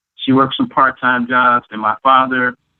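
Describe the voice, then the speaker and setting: Here a man speaks with an American accent. His pitch sits in the medium range. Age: 50s. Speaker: public housing resident, oral history narrator. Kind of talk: oral history interview. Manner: halting, many fillers.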